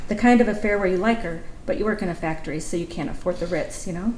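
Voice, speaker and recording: Both clear background noise and audible room echo can be heard. Intonation is fairly even throughout. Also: woman. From Kentucky. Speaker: writer reading her own story. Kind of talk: reading aloud. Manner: fast.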